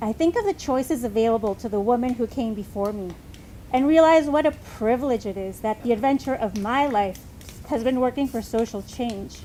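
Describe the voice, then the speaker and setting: At a fairly quick pace, a woman speaks in a high voice with ordinary pitch variation. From US, summers in Mexico. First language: Spanish. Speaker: congregation member giving reflection. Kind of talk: personal reflection read aloud.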